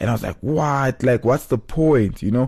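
Against a quiet background, a man with a South African accent speaks in a dark, mellow tone with ordinary pitch variation. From South Africa, Johannesburg. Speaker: podcast host. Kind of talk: casual monologue. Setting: studio, solo.

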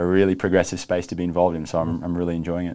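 A man with an Australian accent speaks in a very deep, low voice, dark and mellow in tone, with monotone, flat intonation. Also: very clean recording, silent background. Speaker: video streaming executive. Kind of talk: business interview. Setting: studio.

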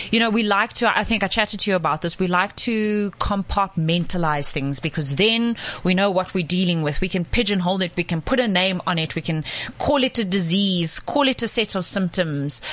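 Noticeable background noise sits under speech at a fairly quick pace. The loudness stays very even. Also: woman, medium pitch for a woman, ordinary pitch variation. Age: 30s. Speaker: gut health coach. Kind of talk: casual chat. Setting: studio.

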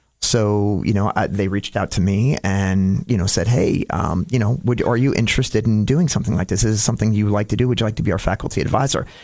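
A man talks at a very fast pace in a fairly low voice, with ordinary pitch variation and very even loudness, over noticeable background noise. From Florida (Dunedin), New York/Connecticut family. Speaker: county commissioner, navy veteran. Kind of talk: radio interview. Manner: talks with his hands, many fillers.

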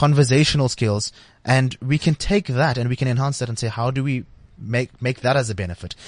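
A man with a medium pitch sounds somewhat breathy against a quiet background. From South Africa. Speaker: tech company marketing director. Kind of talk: interview. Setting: studio.

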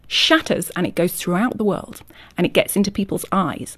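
In a Yorkshire accent, a woman speaks at a fairly quick pace with lively intonation. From Yorkshire, England. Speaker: author. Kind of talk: radio interview.

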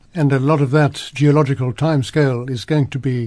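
A man's normal speaking voice, fairly high in pitch, at a fairly quick pace with fairly even intonation. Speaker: radio host. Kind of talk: radio interview. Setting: studio.

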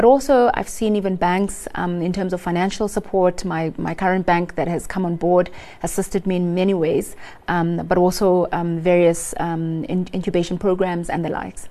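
With a fairly low pitch and a dark, mellow tone, a woman speaks at a moderate pace in fairly even intonation. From South Africa, rural Eastern Cape. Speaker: food company founder. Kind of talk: business advice interview. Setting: studio.

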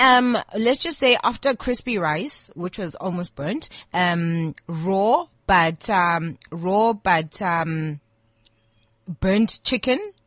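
In a dry, close sound with no echo, a woman at medium pitch speaks at a very slow pace with lively intonation. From South Africa, Eastern Cape (King Williamstown). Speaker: chef. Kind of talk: casual interview chat.

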